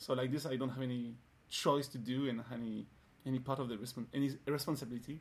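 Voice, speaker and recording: Talking at a very fast pace, a man with a French accent keeps his medium-pitched voice monotone and flat. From France. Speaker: dancer. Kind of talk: casual chat. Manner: halting.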